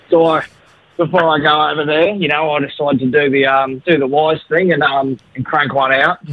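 Dry with no echo, the recording has a man speaking at a moderate pace with fairly even intonation. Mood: amused, holding back laughter. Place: studio.

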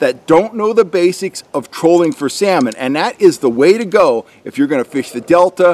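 Using lively intonation, a man talks at a moderate pace in a high pitch. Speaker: fishing guide. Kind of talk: tutorial. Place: forest.

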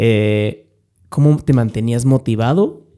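In a quiet setting, a man's dark, mellow tone shows ordinary pitch variation. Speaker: podcast host interviewing a guest; podcast host. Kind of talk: interview questions. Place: studio. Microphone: studio mic.

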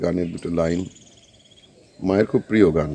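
Fairly even intonation carries through as the man talks. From northern Kolkata, West Bengal. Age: old. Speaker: retiree video blogger. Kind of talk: casual home-tour chat to viewers. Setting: walking tour of his house.

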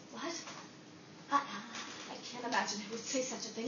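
A woman talks at a fairly slow pace with noticeable background noise behind her. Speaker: comic performer. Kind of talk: acted comedy monologue. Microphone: camera far.

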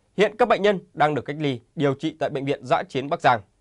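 Lively in intonation, a man has an ordinary speaking voice with a fairly high pitch, heard over a quiet background. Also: dry, close sound with no echo. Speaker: news anchor. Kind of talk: news reading. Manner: formal.

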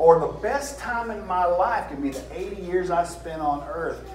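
Against noticeable background noise, a man speaks with a Southern US accent. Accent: southern US drawl. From American South. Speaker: preacher. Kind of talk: sermon. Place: church.

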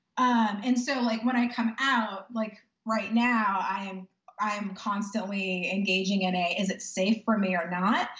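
With an American accent, a woman talks at a fairly slow pace and fairly even intonation, the background quiet but the room echo audible. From Texas. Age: 30s. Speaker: powerlifter and lawyer; lawyer. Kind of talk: interview; interview answer. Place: home room. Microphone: video call.

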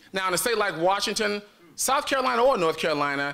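The man's tone is bright, sharp and animated. His pitch swings very widely. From US Midwest, Chicago. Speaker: state legislator. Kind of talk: political speech. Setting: stage with audience. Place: hall. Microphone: podium.

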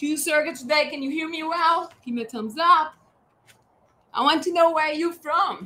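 In an American accent, a woman with a raised, projected voice and a bright, sharp tone speaks at a moderate pace, high in pitch with ordinary pitch variation and big swings in loudness. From US Northeast (Boston). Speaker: fitness instructor. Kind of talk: live workout class. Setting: livestream with chat. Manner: energetic, coaching. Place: garden. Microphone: camera far.

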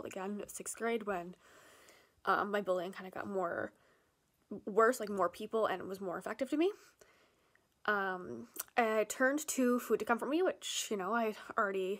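A woman speaks at a moderate pace with ordinary pitch variation, her loudness swinging widely. She leaves long, frequent pauses, and the background is quiet. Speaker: vlogger. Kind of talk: personal story read from a script to camera. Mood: candid, personal, serious. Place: home room. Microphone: phone near.

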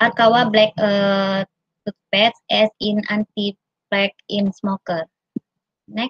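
A woman speaks at a very slow pace with long, frequent pauses, a somewhat breathy voice and monotone, flat intonation, recorded dry with no echo against a quiet background. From Indonesia. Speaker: university researcher; conference presenter. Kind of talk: conference presentation. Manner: halting. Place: home room. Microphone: video call.

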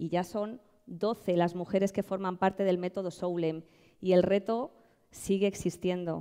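A woman with a Madrid accent speaks at a fairly slow pace against a quiet background. Her tone is dark and mellow, her intonation fairly even. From Madrid, Spain; Spain. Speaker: social entrepreneur. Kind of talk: award presentation speech. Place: stage. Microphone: headset.

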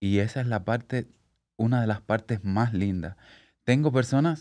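Behind the speech, the background stays quiet. Delivery moves at a moderate pace. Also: man. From Cuba, Havana; Cuba. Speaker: hairstylist; podcast guest. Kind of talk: casual interview. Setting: studio. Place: studio. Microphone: studio mic.

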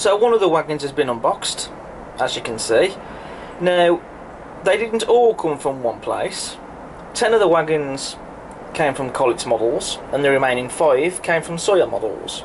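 Over noticeable background noise, a man speaks at a moderate pace. He leaves long, frequent pauses. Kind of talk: casual review commentary. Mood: relaxed, explanatory. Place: home room.

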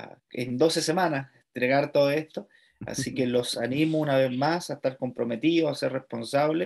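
In a quiet background, a man with a Chilean accent talks at a moderate pace, his pitch fairly high and his intonation fairly even. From Chile, Santiago. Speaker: seminary lecturer. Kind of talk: lecture. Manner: halting, repeats words. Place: home room. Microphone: webcam.

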